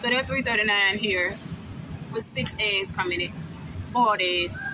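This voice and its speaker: With noticeable background noise behind her, a woman talks at a moderate pace. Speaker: shopper vlogger. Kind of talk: casual vlog chat. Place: shop. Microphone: phone near.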